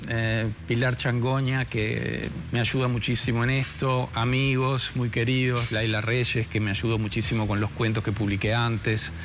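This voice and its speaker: Medium-pitched male speech at a fairly slow pace, with hardly any pauses, very even loudness and fairly even intonation, over music in the background and audible room echo. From Uruguay, Colonia. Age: 60s. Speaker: writer and set designer. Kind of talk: TV interview.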